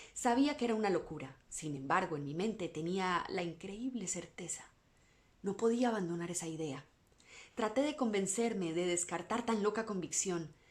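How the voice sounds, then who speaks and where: With a normal speaking voice, a woman talks in a medium pitch and lively intonation. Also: moderate pace. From Latin America. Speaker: voice-over artist. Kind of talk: bedtime story reading.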